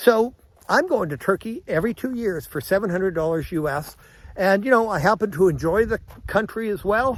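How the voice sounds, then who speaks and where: Using lively intonation, a man with a high pitch talks at a fairly quick pace. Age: 60s. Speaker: travel vlogger, retiree. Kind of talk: casual vlog monologue. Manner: rambling, conversational.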